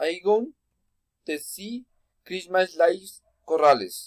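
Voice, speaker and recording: Speech comes at a very slow pace with a Spanish accent. Pitch varies in an ordinary way, and the sound is dry and close with no echo. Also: man. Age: 20s. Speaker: student. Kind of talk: class presentation. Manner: halting.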